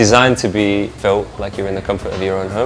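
Fairly low and monotone, a man's flat voice moves at a fairly quick pace over clear background music. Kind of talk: interview answer. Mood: relaxed, friendly. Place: cafe. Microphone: lapel.

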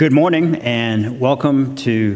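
A man talks, his pitch varying in an ordinary way. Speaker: chapel minister. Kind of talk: church announcements. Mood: warm, welcoming. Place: church.

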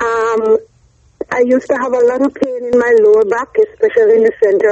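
With fairly even intonation and a fairly quick pace, this is an ordinary speaking voice. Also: woman. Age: 40s. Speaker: client. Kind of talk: testimony. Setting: phone call.

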